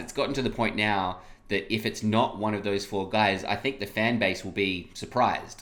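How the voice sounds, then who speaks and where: A man keeps a moderate pace and fairly even intonation, his voice fairly low. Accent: Australian. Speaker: sports podcast host. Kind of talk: casual sports discussion.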